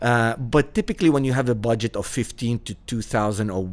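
With an Arabic accent, a man speaks at a moderate pace and medium pitch, his pitch varying in an ordinary way on a very clean recording with a silent background. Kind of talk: casual interview.

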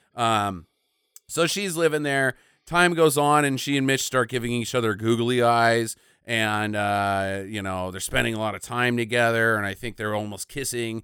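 The man's voice is bright and sharp, pitched in the medium range, and his pace is moderate. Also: ordinary pitch variation, very clean recording, silent background. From small town. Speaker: podcast host. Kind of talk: casual chat.

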